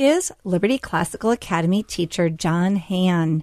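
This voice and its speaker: Over a quiet background, a woman with an American accent uses an ordinary speaking voice, fairly low in pitch with ordinary pitch variation. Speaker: radio host and school headmaster. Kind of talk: radio talk show hosting. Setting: studio.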